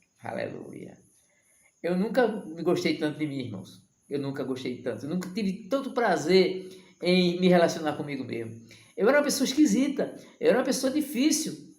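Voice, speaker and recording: Audible room echo surrounds a man with a high pitch. His pitch swings very widely as he talks at a moderate pace. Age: 60s. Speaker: evangelical preacher. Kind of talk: sermon. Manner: impassioned.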